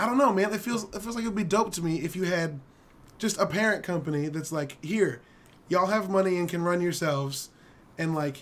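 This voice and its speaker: A man's high voice at a fairly quick pace, with ordinary pitch variation and noticeable background noise. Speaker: gaming podcast panelist. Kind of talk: casual chat.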